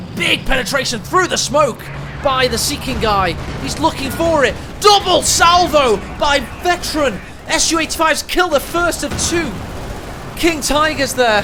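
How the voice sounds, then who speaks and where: A man speaks at a moderate pace in an extremely high voice with lively intonation and long, frequent pauses. Noticeable background noise runs underneath. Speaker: game caster. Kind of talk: live commentary. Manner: whispering.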